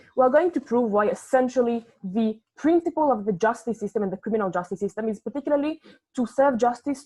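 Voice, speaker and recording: A woman's high voice with a dark, mellow tone, ordinary pitch variation and a non-native accent. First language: not English. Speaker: competitive debater. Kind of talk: competitive debate speech.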